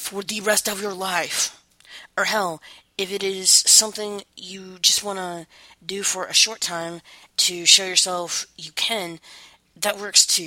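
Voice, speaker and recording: At a very slow pace, a woman with an American accent speaks at a medium pitch, her tone bright and sharp, her intonation fairly even, and her loudness swinging widely. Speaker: podcast host. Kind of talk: casual chat; reading aloud. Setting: recording indoors on a headset.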